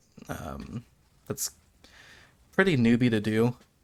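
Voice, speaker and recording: A man talks fairly slowly while music plays behind him. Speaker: gamer. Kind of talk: gameplay commentary.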